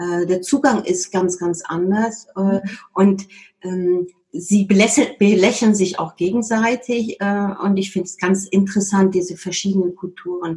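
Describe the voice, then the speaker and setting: A woman with a medium pitch speaks at a fairly slow pace, her somewhat breathy voice dark and mellow in tone, with fairly even intonation. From Germany. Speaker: HR consultant. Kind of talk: interview.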